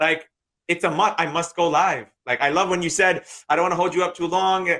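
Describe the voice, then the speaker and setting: A man with an American accent talks at a fairly quick pace and high pitch, in a bright, sharp tone. His intonation is fairly even and his loudness very even. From New York, Queens. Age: 30s. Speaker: day trader and trading teacher. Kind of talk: interview.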